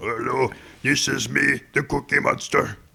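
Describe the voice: At a moderate pace, a man delivers lines in a raspy, put-on character voice.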